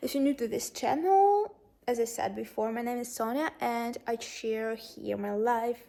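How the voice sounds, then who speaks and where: In a Russian accent, the speaker talks at a moderate pace with a dark, mellow tone and ordinary pitch variation. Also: woman, fairly high pitch for a woman. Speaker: lifestyle vlogger. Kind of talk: casual chat. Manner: halting.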